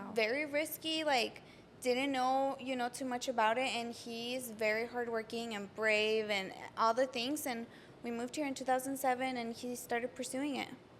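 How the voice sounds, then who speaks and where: Delivered in a Spanish accent at a moderate pace, the speech keeps fairly even intonation. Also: woman, high pitch for a woman. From Mexico (Jalisco), then Arizona from age ten. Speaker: small business owner. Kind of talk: casual interview chat.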